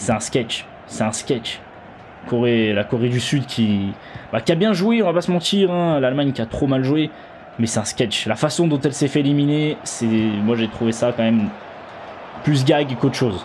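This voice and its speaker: There is noticeable background noise as a man talks at a moderate pace and a medium pitch, with ordinary pitch variation. He leaves long, frequent pauses. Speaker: gaming youtuber. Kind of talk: live commentary. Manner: loud; animated.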